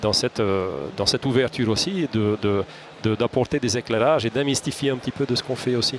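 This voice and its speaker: With noticeable noise behind him, a man speaks at a fairly quick clip, his pitch varying in an ordinary way. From Hungary. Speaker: security company executive, ex-legionnaire. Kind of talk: interview. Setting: studio. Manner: halting, many repetitions.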